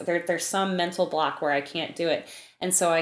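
Speaking in a plain, everyday voice with an American accent, a woman holds a fairly low pitch and fairly even intonation. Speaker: composer. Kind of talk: interview.

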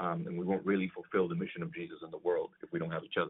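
A man speaks with a Spanish accent. His pitch swings are very wide. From Puerto Rico. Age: 30s. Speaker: pastor. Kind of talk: casual interview. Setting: remote call.

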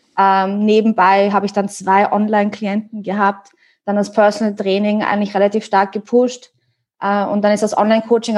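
Her pitch medium, a woman talks at a fairly quick pace in a monotone, flat delivery. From Austria. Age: 30s. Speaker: online fitness coach. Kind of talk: casual chat.

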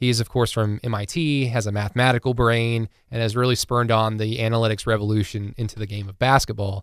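He has a plain, everyday voice, a man speaking at a fairly quick pace with medium pitch and fairly even intonation. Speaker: podcast guest and book discussion partner. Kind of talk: casual chat. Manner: casual, profane.

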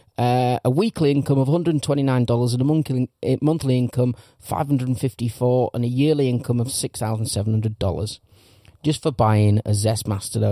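A dark, mellow tone in an English accent, dry and close with no echo. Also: man. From England. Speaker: podcast host. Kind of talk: casual banter podcast. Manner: sweary, chatty.

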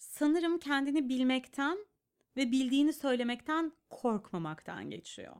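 The recording is very clean, with a silent background. A woman speaks in a high pitch with lively intonation. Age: 30s. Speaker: clinical psychologist and podcast host. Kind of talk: casual chat.

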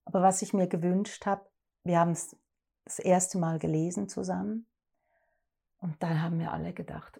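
A woman talks fairly slowly in a dark, mellow, somewhat breathy voice, fairly low in pitch with fairly even intonation. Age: 50s. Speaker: actress and director. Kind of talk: interview.

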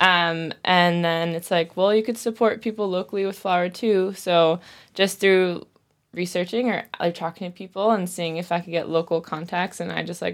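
A woman with an American accent and a plain, everyday voice speaks at a moderate pace with fairly even intonation and a fairly low pitch, on a very clean recording with a silent background. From US. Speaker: fermentation workshop teacher. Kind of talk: casual interview. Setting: studio.

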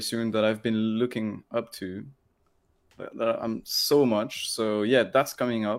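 A man with a French accent, medium in pitch, at a fairly slow pace, on a very clean recording with a silent background. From France. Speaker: electronic music producer. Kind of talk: casual interview. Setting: live video stream.

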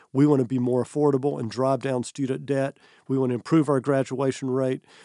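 Monotone and flat in intonation, a dark, mellow voice with an American accent moves at a fairly quick pace over a quiet background. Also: man. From US South, North Georgia. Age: 60s. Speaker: college president. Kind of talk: interview.

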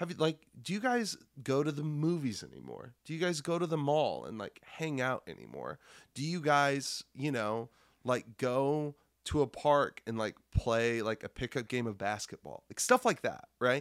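Here a man with an unremarkable speaking voice and an American accent talks at a moderate pace. His pitch is fairly high, and the recording is very clean with a silent background. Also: ordinary pitch variation. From Nebraska, Lincoln. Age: 30s. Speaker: comedian and middle school teacher. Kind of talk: casual chat. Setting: at home.

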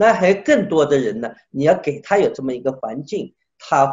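A somewhat breathy man at a fairly slow pace. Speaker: sculptor. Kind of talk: interview. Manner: animated.

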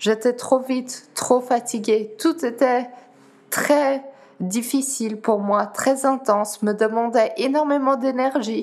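Speaking at a very slow pace with a Dutch accent, a woman with a high pitch and ordinary pitch variation is heard over noticeable background noise. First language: Dutch (speaking French). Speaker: para-athlete. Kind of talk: interview. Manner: halting.

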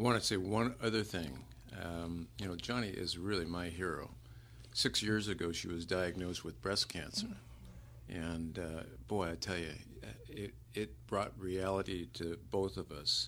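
At a moderate pace, a man with a very deep, low pitch and vocal fry speaks with lively intonation. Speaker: guest, husband. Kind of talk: casual conversation. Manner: hesitant, many fillers.

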